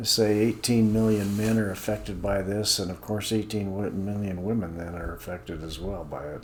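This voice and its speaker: In a room with audible echo, a man with a fairly low pitch speaks at a moderate pace with ordinary pitch variation. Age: 70s. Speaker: senior health video host, accountant. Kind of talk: informal talk-to-camera explainer. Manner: hesitant, many fillers.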